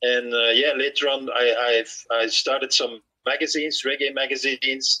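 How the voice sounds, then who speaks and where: A man with a Dutch accent, medium pitch, a bright, sharp tone, monotone, flat intonation, very even loudness and a moderate pace. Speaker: author and reggae journalist. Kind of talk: interview. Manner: halting, many repeated words.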